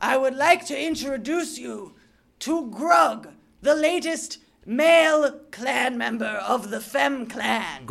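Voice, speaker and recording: High-pitched speech at a fairly slow pace carries lively intonation and big swings in loudness. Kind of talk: improv comedy. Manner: pompous, formal, condescending.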